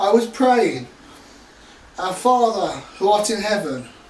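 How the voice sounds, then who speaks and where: In a room with audible echo, a man with a high-pitched voice speaks at a very slow pace. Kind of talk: casual vlog chat. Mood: warm, earnest. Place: home room. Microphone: camera far.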